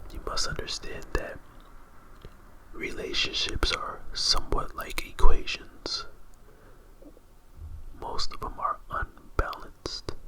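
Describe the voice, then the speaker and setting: A man with an extremely high pitch speaks at a very slow pace in a soothing tone, with ordinary pitch variation, long, frequent pauses and big swings in loudness, over noticeable background noise. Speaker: ASMR artist. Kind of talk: ASMR therapy roleplay. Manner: slow, soothing, whispery.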